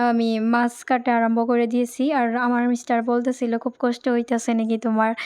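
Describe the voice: Speaking at a fairly quick pace, a woman has a fairly high pitch and a slightly mellow tone.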